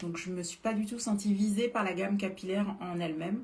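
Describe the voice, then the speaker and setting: A woman at a medium pitch speaks at a moderate pace in an animated tone. Noticeable background noise runs behind her. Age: 40s. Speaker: beauty influencer selling supplements. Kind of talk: live stream product talk. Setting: live stream. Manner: hesitant, many filler sounds.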